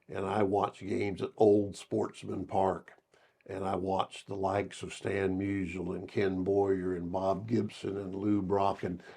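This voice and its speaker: A man's fairly low voice, dark and mellow in tone, with an American accent. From Southern Illinois. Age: 70s. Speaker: retired basketball coach. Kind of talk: interview. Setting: studio. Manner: halting, many fillers.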